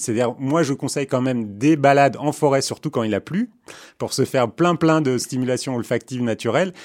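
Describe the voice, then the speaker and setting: Fairly quick and fairly high in pitch, a man uses a plain, everyday voice with ordinary pitch variation, recorded very cleanly against a silent background. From born in Istanbul, Turkey. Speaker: neurobiologist. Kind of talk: interview.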